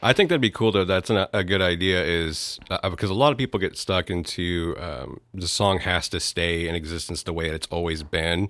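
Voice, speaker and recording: Speaking at a moderate pace with hardly any pauses, a man with a very deep, low pitch and an American accent uses ordinary pitch variation on a very clean recording with a silent background. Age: 30s. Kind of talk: casual chat, laughing interviewer. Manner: animated, jumps in with laughter.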